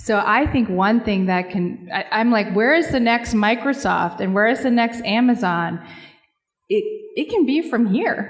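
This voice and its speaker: A woman with an American accent talks at a fairly slow pace in an ordinary speaking voice, fairly high in pitch, with ordinary pitch variation. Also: very even loudness. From Seattle. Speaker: corporate philanthropy executive. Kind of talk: panel discussion.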